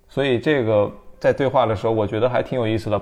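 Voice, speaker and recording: Man's medium-pitched voice, a plain, everyday voice with fairly even intonation. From Anhui, southern China. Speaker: podcast host. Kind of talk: casual interview chat.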